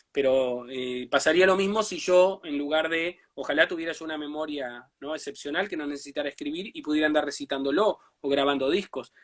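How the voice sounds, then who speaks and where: Fairly quick and with big swings in loudness, a man's speech sits at a fairly high pitch with ordinary pitch variation. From Uruguay, Brazil border region. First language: Portuñol (Spanish-Portuguese mix) (speaking Spanish). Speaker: writer. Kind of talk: interview.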